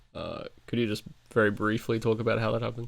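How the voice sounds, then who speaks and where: At a very fast pace, a man speaks in a medium pitch. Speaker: podcast host. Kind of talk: interview.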